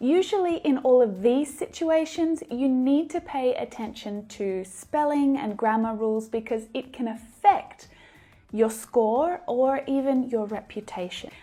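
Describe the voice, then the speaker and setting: Fairly slow and high-pitched, a woman speaks in an Australian accent with lively intonation. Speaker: English teacher. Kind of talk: lesson.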